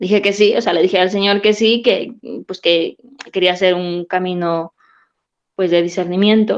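This woman's medium-pitched voice follows a fairly even intonation. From Peru. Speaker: nun. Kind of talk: radio talk show interview.

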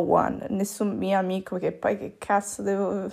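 A woman's voice at a medium pitch. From Italy. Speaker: pastry chef. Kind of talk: casual solo podcast monologue. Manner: casual, slangy with English words.

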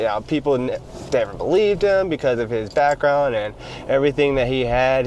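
A man with a medium pitch talks at a fairly quick pace with ordinary pitch variation over noticeable background noise. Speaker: podcast host. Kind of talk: casual, conversational. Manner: fast talker.

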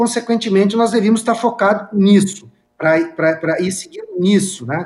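A man's voice, high in pitch, at a moderate pace with ordinary pitch variation. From Caxias do Sul, Rio Grande do Sul. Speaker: state legislator. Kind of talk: political debate. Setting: remote video link.

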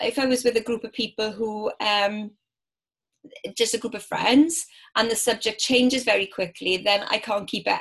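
Using a Welsh accent, a woman with a fairly high voice speaks at a moderate pace with fairly even intonation. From Wales. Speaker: business networking organiser. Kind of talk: casual interview.

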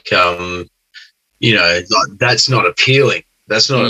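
Speaking with an Australian accent, a man uses a bright, sharp tone and ordinary pitch variation at a fairly slow pace. The sound is dry and close, with no echo. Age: 30s. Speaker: podcast guest. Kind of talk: casual chat. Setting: video call.

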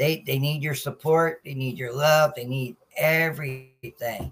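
A man with an American accent speaks at a fairly slow pace and a fairly high pitch. His voice is somewhat breathy, with ordinary pitch variation. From Norfolk, Virginia. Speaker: sports podcast host. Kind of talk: casual livestream talk. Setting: live video stream.

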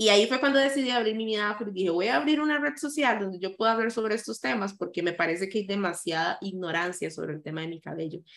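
In a Costa Rican accent, a woman talks very fast with lively intonation and hardly any pauses. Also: medium pitch for a woman. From Costa Rica, San José. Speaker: content creator and anti-racism activist. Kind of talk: interview.

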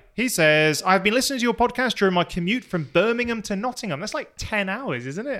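A man speaks at a high pitch with lively intonation and a bright, sharp tone, in a very clean recording with a silent background. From Plymouth, England. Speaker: podcast host. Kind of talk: casual banter podcast. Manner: animated, joking.

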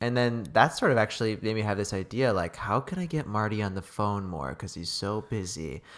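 The recording is very clean, with a silent background. A man with a fairly low pitch talks at a fairly quick pace with lively intonation and hardly any pauses. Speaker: podcast host. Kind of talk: casual chat. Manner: upbeat, enthusiastic.

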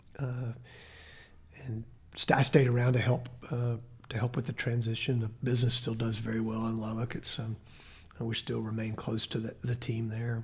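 With a Texan accent, a man speaks at a moderate pace and medium pitch, somewhat breathy and monotone and flat, with long, frequent pauses. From Texas (grew up in Temple). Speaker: mayor. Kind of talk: interview. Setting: studio. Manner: halting.

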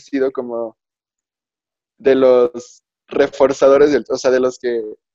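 The voice has a dark, mellow tone at a fairly slow pace. Its sound is dry and close with no echo. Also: man. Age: young. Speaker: podcast guest. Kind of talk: casual chat.

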